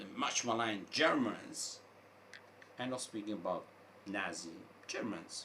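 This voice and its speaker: Over noticeable background noise and audible room echo, a man with an American accent speaks at a fairly slow pace and medium pitch, with ordinary pitch variation and long, frequent pauses. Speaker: online commentator. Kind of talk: opinion monologue. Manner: halting, with repetitions.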